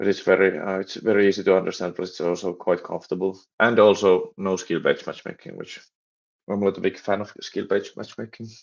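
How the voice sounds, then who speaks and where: Monotone, flat intonation at a very fast pace with a Finnish accent and a quiet background. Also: man, fairly low pitch for a man. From Finland. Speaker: game developer and streamer. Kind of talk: live stream chat while coding. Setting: live stream. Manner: halting, many repetitions and fillers.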